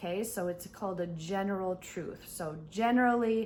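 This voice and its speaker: A woman talks with ordinary pitch variation. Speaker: English teacher. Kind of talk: online English lesson. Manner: slow, clear.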